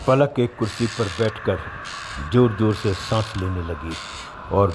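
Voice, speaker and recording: This man's voice sits fairly low in pitch and has ordinary pitch variation. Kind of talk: horror story narration.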